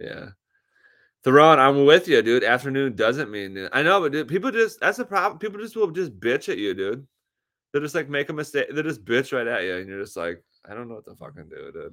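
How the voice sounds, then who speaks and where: With a bright, sharp tone, a man talks at a fairly quick pace, his pitch swinging very widely and his loudness shifting in big swings. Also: fairly high pitch for a man, very clean recording, silent background. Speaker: podcast co-host. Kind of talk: casual chat. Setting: at co-host's house, livestream. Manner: low energy.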